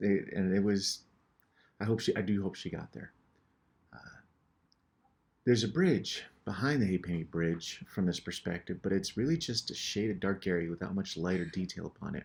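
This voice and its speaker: A man with an American accent speaks at a fairly low pitch with ordinary pitch variation. He leaves long, frequent pauses. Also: moderate pace. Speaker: painter and show host. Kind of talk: casual narration over painting tutorial. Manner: casual, with hesitations and repetitions.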